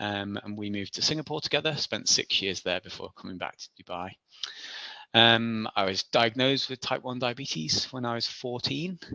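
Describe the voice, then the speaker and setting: Bright and sharp in tone, a man's medium-pitched voice has lively intonation and big swings in loudness. He speaks at a moderate pace. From Isle of Man. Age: 40s. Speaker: ultra athlete. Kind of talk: interview. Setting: podcast. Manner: halting.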